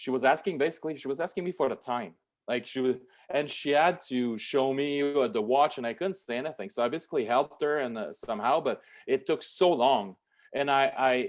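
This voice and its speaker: A man talks at a moderate pace in a fairly high voice with ordinary pitch variation. The background is quiet. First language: French. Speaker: lawyer. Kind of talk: interview. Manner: halting, many repetitions and fillers.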